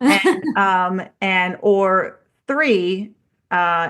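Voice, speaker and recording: Over a quiet background, the speaker uses ordinary pitch variation with a Baltimore accent. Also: woman. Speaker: strength coach. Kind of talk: casual podcast chat.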